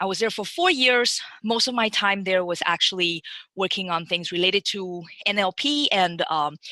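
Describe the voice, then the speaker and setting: Speaking with a Chinese accent at a moderate pace, a woman has a bright, sharp tone in a dry, close sound with no echo. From Taiwan. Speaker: machine learning engineer. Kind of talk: webinar career talk. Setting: webinar. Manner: halting, many fillers and restarts.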